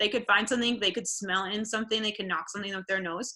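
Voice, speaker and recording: A woman speaks in a bright, sharp tone. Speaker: veterinary professional teaching dog handlers. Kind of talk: webinar presentation. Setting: online webinar. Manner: fast; casual, many fillers.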